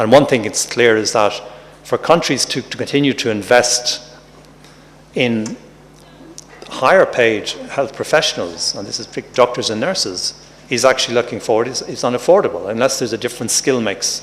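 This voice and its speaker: With an Irish accent, a man talks at a moderate pace in a medium pitch with ordinary pitch variation, and noticeable background noise is present. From Ireland. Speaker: professor, health workforce expert. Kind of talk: conference talk. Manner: halting, with repetitions.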